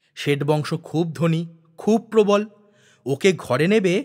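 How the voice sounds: At a slow pace, the voice carries lively intonation and a slightly mellow tone. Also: man.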